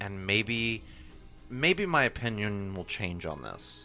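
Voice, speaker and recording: Music can be heard behind the voice. The words come at a fairly slow pace. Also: man. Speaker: podcast co-host. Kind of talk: casual chat.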